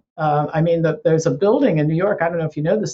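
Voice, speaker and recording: A woman speaks in a somewhat breathy voice. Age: 60s. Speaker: health educator and author. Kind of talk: interview.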